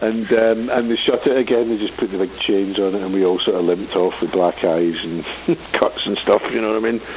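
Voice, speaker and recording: A man speaks at a fairly low pitch with fairly even intonation, and background noise is noticeable. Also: fairly quick pace. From Scotland, Glasgow. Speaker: punk musician. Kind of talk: radio interview. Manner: halting.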